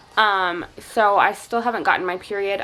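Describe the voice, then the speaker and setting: Music plays behind a woman speaking at a medium pitch. Her intonation stays fairly even. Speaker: stay-at-home mom vlogger. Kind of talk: casual vlog update. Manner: hesitant, many fillers.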